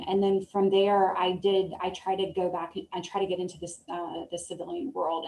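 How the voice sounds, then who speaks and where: Over noticeable background noise, a woman talks at a medium pitch with a slight Southern US accent. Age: 30s. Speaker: Air Force veteran. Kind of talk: interview. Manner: halting, many fillers.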